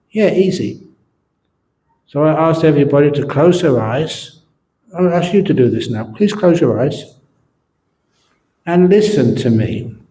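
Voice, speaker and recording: A man's fairly high, dark, mellow voice with lively intonation at a fairly slow pace, broken by long, frequent pauses, with audible room echo. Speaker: Buddhist monk and meditation teacher. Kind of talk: dharma talk. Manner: slow with pauses between words.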